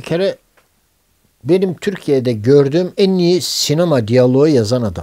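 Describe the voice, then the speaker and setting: A man's fairly high-pitched voice with a dark, mellow tone, lively intonation and a fairly slow pace against a quiet background. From Istanbul, Turkey. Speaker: film director. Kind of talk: oral history interview answer. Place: home room.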